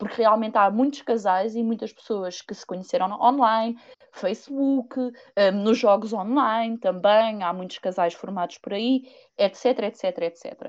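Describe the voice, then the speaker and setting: A woman with an ordinary speaking voice talks at a fairly slow pace and fairly high pitch, with ordinary pitch variation and big swings in loudness. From Portugal, Viseu. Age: 30s. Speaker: podcast guest. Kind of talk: casual chat.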